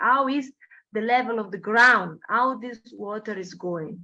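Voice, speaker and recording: Speaking at a moderate pace, a woman with an Italian accent has a bright, sharp tone and a fairly high pitch. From Italy. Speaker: architecture professor. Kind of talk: lecture. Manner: halting, with frequent fillers.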